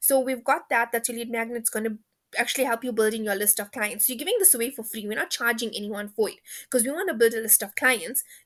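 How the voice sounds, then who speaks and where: A woman speaks very fast in a fairly high pitch. Her tone is animated. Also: ordinary pitch variation. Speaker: online business coach. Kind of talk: online training session.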